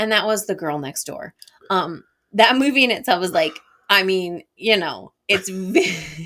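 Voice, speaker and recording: A woman speaks in an unremarkable speaking voice at a medium pitch and a fairly slow pace. Her pitch variation is ordinary, but her loudness swings widely. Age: 40s. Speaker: podcast co-host. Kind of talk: casual chat.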